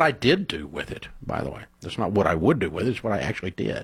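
Speaking at a fairly quick pace, a man has a low pitch and a slightly husky edge.

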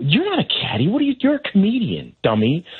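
A man whispers at a moderate pace. He is doing a put-on character voice. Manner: whispering, taunting.

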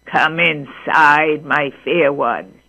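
This is a put-on character voice pitched in the middle range. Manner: cunning.

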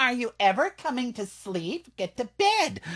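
A man puts on a character voice at an extremely high pitch, with very wide pitch swings, at a moderate pace. The sound is dry and close, with no echo. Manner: nagging, calling out.

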